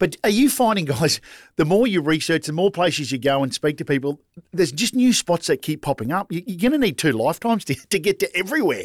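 An Australian-accented man talks very fast at a high pitch, with very wide pitch swings. The sound is dry and close with no echo, on a very clean recording with a silent background. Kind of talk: casual chat. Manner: animated.

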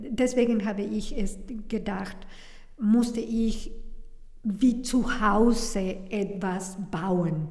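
A woman with a Spanish accent speaks at a fairly high pitch with fairly even intonation. Her pace is very slow, and audible room echo is present. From Mexico. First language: Spanish (speaking German). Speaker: restaurant founder and chef. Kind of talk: interview. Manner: halting.

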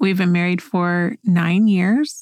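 A woman with an American accent speaks with ordinary pitch variation. The recording is very clean with a silent background, and the sound is dry and close with no echo. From Oklahoma. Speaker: podcast host. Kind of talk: casual chat.

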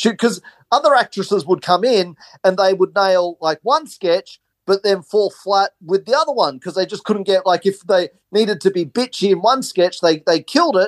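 A high-pitched male voice with an Australian accent, dry and close with no echo. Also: ordinary pitch variation, moderate pace. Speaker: film producer and comedy filmmaker.

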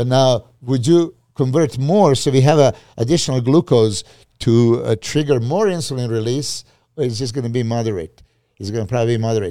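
In a very clean recording with a silent background, a man with a Serbian accent speaks at medium pitch in a dark, mellow tone. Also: ordinary pitch variation, fairly quick pace. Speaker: bodybuilding coach. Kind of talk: casual chat.

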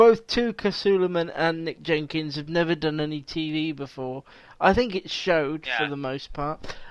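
In a quiet background, a man speaks at a moderate pace with a fairly high pitch and ordinary pitch variation. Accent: English. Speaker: podcast host. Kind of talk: casual chat.

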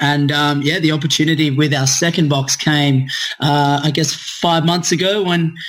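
With an Australian accent, a man talks at a moderate pace in a fairly high pitch with fairly even intonation. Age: 20s. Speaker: gym owner and fitness coach. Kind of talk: podcast interview.

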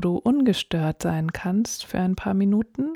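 A woman's dark, mellow and gentle, calm tone at a very slow pace, in a dry, close sound with no echo. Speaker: podcast host and meditation guide. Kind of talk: guided meditation. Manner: slow, calm, soothing; gentle, soft-spoken, with pauses.

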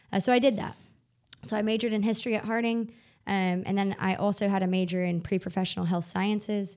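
Talking very fast with fairly even intonation, a woman with a Southern US accent is heard on a very clean recording with a silent background. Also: medium pitch for a woman. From US South, northwest Arkansas. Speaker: nonprofit worker. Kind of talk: interview.

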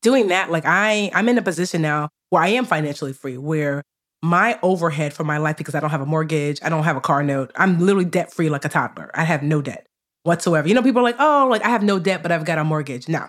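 With an American accent and lively intonation, a woman speaks very fast at a fairly low pitch in a very clean recording with a silent background. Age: 40s. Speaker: personal finance educator and author. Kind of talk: interview conversation.

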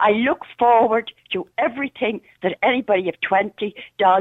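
A woman with an Irish accent. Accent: Irish (Louth). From Ireland, Dundalk. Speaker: regular radio caller. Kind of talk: talk radio call-in. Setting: phone call. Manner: animated.

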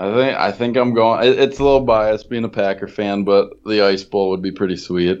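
In an ordinary speaking voice with an American accent, a man with a fairly low pitch talks at a fairly quick pace with fairly even intonation and hardly any pauses. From Wisconsin. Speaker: fantasy football podcaster. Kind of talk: casual chat.

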